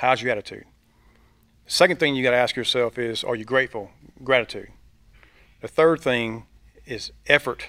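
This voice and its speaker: In a Southern US accent, a man with a bright, sharp tone and medium pitch speaks at a moderate pace with ordinary pitch variation and long, frequent pauses. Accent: Southern US (Georgia). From US South, Georgia (Thomasville). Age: 40s. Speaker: insurance agent and team leader. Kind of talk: casual interview. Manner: energetic.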